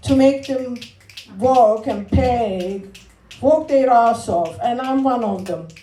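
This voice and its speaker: With a Turkish accent, a woman speaks very slowly in a high voice, with audible room echo and noticeable background noise. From Turkey. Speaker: comedian and spoken word performer. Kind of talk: spoken word poetry performance with stand-up.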